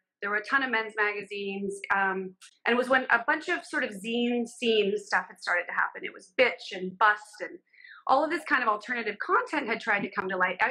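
A woman with an American accent speaks in a fairly high pitch with lively intonation and big swings in loudness. Her tone is bright and sharp against a quiet background. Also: fairly quick pace. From Southern California. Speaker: fashion and beauty photographer. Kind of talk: casual interview chat. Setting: video call from home. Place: home room. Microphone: video call.

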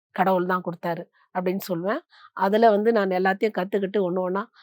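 A woman's medium-pitched voice sounds dry and close with no echo, in a very clean recording over a silent background. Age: 50s. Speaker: meditation practitioner and businesswoman. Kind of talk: testimony. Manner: halting.

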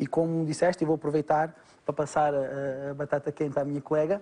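Speaking at a very fast pace, a man uses a European Portuguese accent. His tone is dark and mellow, at a fairly high pitch. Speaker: doctor. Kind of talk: educational medical talk.

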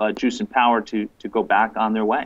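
The man's speech moves along at a fairly quick clip. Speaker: remote guest. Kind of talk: interview answer. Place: home room. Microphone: video call.

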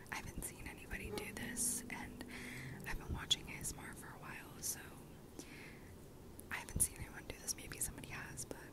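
A woman's voice, dry with no echo, under loud background noise. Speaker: ASMR creator. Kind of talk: ASMR whispered ramble. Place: home room.

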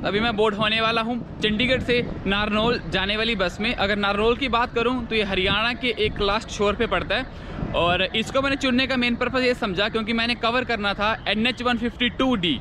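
A man's high-pitched voice at a fairly quick pace, with few pauses, ordinary pitch variation and clear background noise

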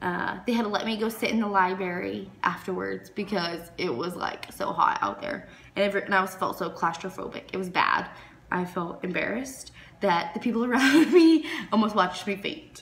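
A woman at a moderate pace with lively intonation, light background noise behind her. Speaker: cruise reviewer. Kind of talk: casual vlog chat. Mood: candid, mildly complaining. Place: home room. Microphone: phone near.

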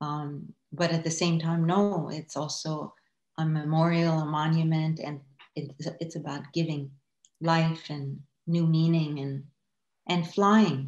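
In an Iranian accent, a woman speaks at a very slow pace with a very deep, low pitch and a flat monotone. The background is quiet, though room echo is audible. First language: Farsi. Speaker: artist. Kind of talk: casual chat. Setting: video call. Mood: reflective, calm. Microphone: video call.

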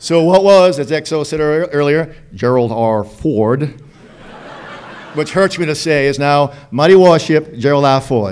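In a Boston accent, the speaker goes at a fairly slow pace with ordinary pitch variation. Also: man, fairly high pitch for a man. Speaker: Navy captain. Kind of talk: ceremony speech. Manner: joking. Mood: humorous, joking. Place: hall. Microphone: podium.

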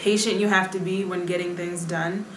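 With an American accent and a medium pitch, a woman speaks over light background noise, with audible room echo. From United States. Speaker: Foreign Service officer; interviewee. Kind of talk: interview. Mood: calm, reflective. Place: home room.

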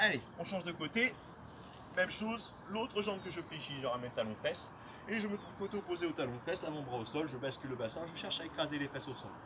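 Amid noticeable background noise, a man rattles along at a very fast pace. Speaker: fitness coach. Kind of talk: guided stretching instruction. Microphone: camera far.

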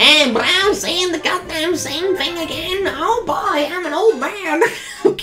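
A put-on character voice pitched extremely high, at a fairly slow pace with hardly any pauses. Clear background noise runs behind it.

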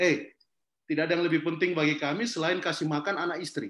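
A man's high-pitched voice at a very fast pace, with audible room echo. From Kendari, Southeast Sulawesi, Indonesia; Southeast Sulawesi, Indonesia. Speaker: forest activist and social entrepreneur; guest. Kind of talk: online talk interview. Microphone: video call.

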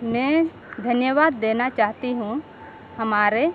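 Noticeable background noise behind a woman with a fairly high pitch and ordinary pitch variation. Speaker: community reporter. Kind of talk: field report and interview.

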